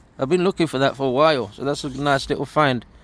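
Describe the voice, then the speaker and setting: A man talks with an East Midlands accent. His pitch varies in an ordinary way. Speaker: vlogger walking historic sites. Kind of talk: walking vlog narration. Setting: outdoors. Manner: casual, halting with repetitions.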